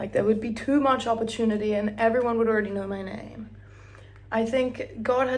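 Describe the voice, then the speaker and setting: Talking at a fairly quick pace, a woman is heard with audible room echo around her voice. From Australia, Brisbane. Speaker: vlogger. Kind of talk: casual chat. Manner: animated.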